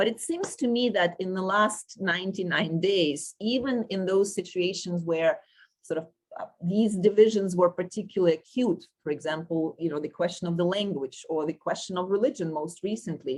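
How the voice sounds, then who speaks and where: A woman speaks with a Russian accent at a medium pitch. Her pace is moderate and her pitch variation ordinary. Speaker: panel chair, sociology professor. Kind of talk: moderating an academic panel discussion. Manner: halting, many fillers and self-corrections.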